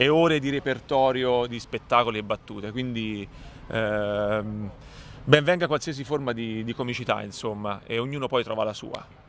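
Over light background noise, a man talks at a moderate pace with ordinary pitch variation and a dry sound with no echo. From Tuscany, Cecina; Tuscany. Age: 30s. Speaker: comedian. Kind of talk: interview. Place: hall.

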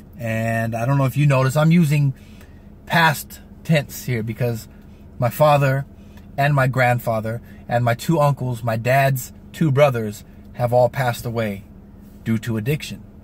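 A man with an American accent, somewhat breathy and fairly even in intonation, with long, frequent pauses, a dry sound with no echo and light background noise. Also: medium pitch for a man, moderate pace. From US West Coast (San Diego, California); California. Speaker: vlogger giving motivational talk. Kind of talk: motivational vlog monologue. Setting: in a car. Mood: reflective, earnest. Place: car. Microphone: phone near.

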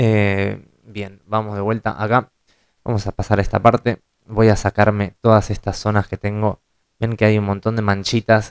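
Against a quiet background, a man speaks at a moderate pace in a fairly low pitch with monotone, flat intonation. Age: 30s. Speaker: photo retoucher and tutorial creator; photo retouching tutor. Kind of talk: tutorial. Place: home room.

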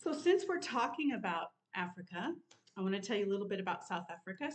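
Against a quiet background, a woman speaks in a somewhat breathy voice. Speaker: sewing vlogger. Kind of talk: casual vlog chat. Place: home room. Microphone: webcam.

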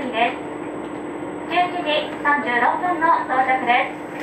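A woman speaking at a very slow pace, with ordinary pitch variation over loud background noise. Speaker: train crew announcer. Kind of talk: onboard announcement. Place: train.

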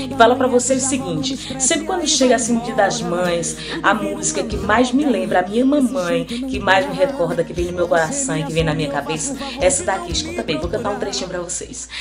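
A woman's fairly quick speech comes over clear music in the background. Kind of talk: casual greeting message. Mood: warm, cheerful.

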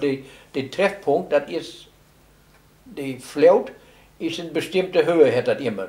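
A man with an East Frisian accent, at a very slow pace, with long, frequent pauses. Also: ordinary pitch variation. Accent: East Frisian Low German. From East Frisia, northern Germany. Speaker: local eyewitness. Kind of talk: interview answer. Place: home room. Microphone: camera far.

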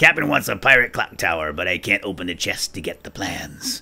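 In a put-on character voice, a woman talks at a fairly quick pace with a very deep, low pitch.

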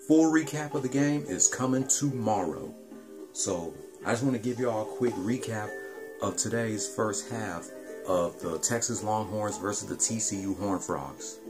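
Clear music sits in the background as the speaker goes at a moderate pace. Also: man. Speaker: gamer streaming a let's play. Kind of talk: casual gameplay commentary. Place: home room. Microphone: phone near.

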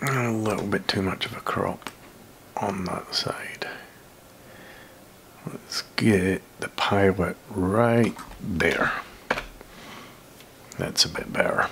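The man's whispering moves very slowly. Long pauses come often. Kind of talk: tutorial.

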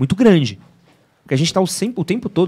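In a quiet setting, a man speaks at a high pitch in a dark, mellow tone, his pitch swinging very widely. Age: 30s. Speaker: men's fashion and style presenter; presenter. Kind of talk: casual chat. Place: studio. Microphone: studio mic.

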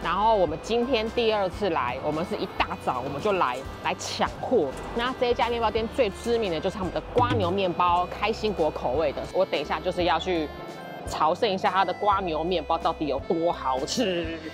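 Clear music plays behind this voice, which moves at a moderate pace in a dry sound with no echo. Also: woman. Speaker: travel food vlogger. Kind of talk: casual vlog chat. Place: street. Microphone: phone near.

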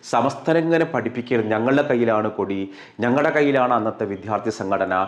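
A man talks in an unremarkable speaking voice of medium pitch with ordinary pitch variation. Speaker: online commentator. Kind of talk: opinion commentary.

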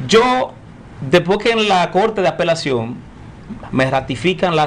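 A man talks at a high pitch. His intonation is lively. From Dominican Republic. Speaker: journalist and broadcaster; journalist. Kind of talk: interview. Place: studio. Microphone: studio mic.

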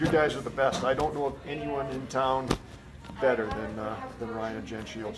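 Through loud background noise, a man talks at a moderate pace with a medium pitch and ordinary pitch variation. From rural Manitoba, Canada. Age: 60s. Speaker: car dealership owner; interviewee. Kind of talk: interview; interview answer. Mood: warm, relaxed. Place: office. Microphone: camera far.

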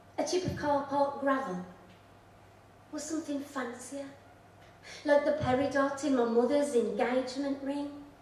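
A woman's high, flat monotone at a moderate pace, with audible room echo and light background noise. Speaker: poet. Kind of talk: poetry reading with chatty, humorous intros. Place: stage.

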